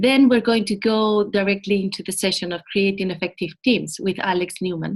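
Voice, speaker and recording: A woman with a Spanish accent speaks at a moderate pace and a medium pitch, with fairly even intonation. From Spain. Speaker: program manager. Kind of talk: webinar presentation.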